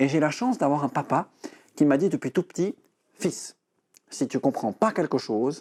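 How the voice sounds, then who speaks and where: At a fairly slow pace, a man with a fairly high pitch speaks with lively intonation, big swings in loudness, and long, frequent pauses. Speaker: breathing and voice coach. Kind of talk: TV interview.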